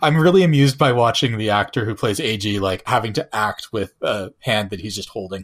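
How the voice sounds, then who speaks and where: Speaking at a fairly quick pace with hardly any pauses, a man uses a plain, everyday voice, fairly low in pitch with lively intonation, on a very clean recording with a silent background. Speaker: podcast host. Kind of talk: casual chat.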